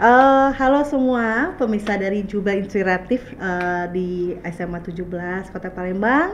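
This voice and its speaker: Amid noticeable background noise and audible room echo, a woman talks at a moderate pace with hardly any pauses, her medium pitch showing ordinary variation. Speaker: education consultant. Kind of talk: podcast interview. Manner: hesitant, many fillers.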